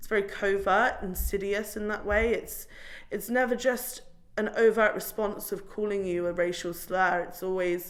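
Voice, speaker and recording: Audible room echo follows a woman who speaks at a moderate pace in a medium pitch. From Somerset, England. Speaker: community activist. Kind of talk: interview. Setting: cafe. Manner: animated.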